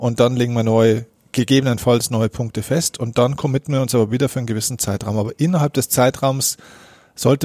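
A plain, everyday voice from a man of medium pitch, fairly quick in pace with fairly even intonation, in a very clean recording with a silent background. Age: 30s. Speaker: mental coach and keynote speaker. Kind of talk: interview. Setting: in-person meeting after a workshop.

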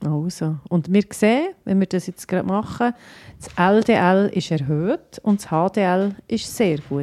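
Speaking at a very slow pace, a woman uses a medium pitch with ordinary pitch variation and a dark, mellow tone. Her loudness swings widely, and the sound is dry and close with no echo. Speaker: pharmacist, podcast co-host. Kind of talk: casual medical chat.

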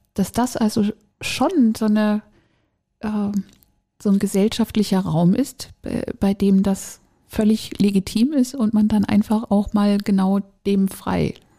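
The tone is dark and mellow, somewhat breathy, with very even loudness and fairly even intonation. Delivery is very slow with long, frequent pauses, in a dry, close sound with no echo. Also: woman, medium pitch for a woman. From northern Germany. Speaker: podcast co-host. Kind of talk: casual chat.

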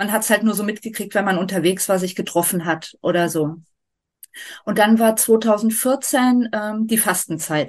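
Here a woman speaks fairly slowly in an unremarkable speaking voice, her pitch varying in an ordinary way. The background is quiet. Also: medium pitch for a woman. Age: 40s. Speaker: vegan nutrition advisor and long-term traveller. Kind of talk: casual interview.

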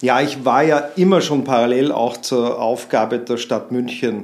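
Here a man talks at a moderate pace. His pitch is medium for a man. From Austria, Vienna. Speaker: marketing consultant. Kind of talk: interview. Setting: in-person studio conversation.

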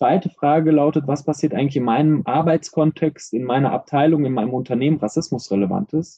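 Fairly high-pitched, a man talks at a fairly quick pace with ordinary pitch variation. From Iran, raised in Germany. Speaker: professor, racism researcher. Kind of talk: interview. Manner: hesitant with frequent fillers.

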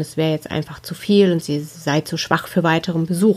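A woman talks at a moderate pace and a fairly low pitch. Her intonation stays fairly even. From Ruhr area, Germany. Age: 40s. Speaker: spiritual medium, podcast host. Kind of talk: personal storytelling monologue.

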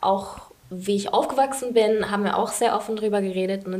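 A woman speaks at a moderate pace with medium pitch and fairly even intonation. Audible room echo and noticeable background noise are present. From England. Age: 20s. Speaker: student. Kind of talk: interview.

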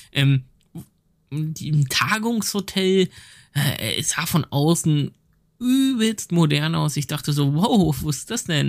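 Pitch moves in an ordinary way across a normal speaking voice. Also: man. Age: 30s. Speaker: game producer. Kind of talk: casual chat.

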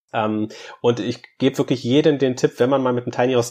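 A man's plain, everyday voice at medium pitch, fairly quick, with ordinary pitch variation over a quiet background. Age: 30s. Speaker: media professional and tiny house owner. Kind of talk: interview.

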